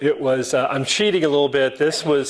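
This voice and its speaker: A man talks while noticeable background noise is heard throughout. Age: 60s. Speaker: club speaker, lawyer. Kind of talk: talk to club audience with slides. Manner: casual, with fillers and false starts.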